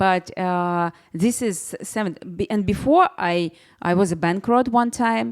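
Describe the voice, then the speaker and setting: On a very clean recording with a silent background, a woman with a Russian accent speaks at a fairly slow pace and a medium pitch with lively intonation. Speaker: personal branding expert. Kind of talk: interview. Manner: halting.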